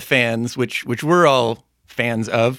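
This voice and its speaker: A man's bright, sharp voice moves at a fairly slow pace. The recording is very clean, with a silent background. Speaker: sports podcast host. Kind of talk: casual sports banter.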